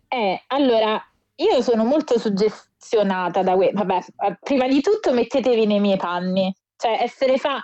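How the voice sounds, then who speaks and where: The speech moves at a moderate pace with lively intonation and very even loudness. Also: woman, fairly high pitch for a woman. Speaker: wrestling podcast co-host. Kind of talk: casual chat. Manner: animated. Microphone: recording on phone, may sound distant.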